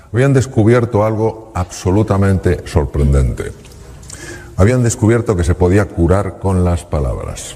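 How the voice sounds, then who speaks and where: Over noticeable background noise, a man speaks at a fairly slow pace with lively intonation. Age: 60s. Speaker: public speaker, former surgeon. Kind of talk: talk to audience.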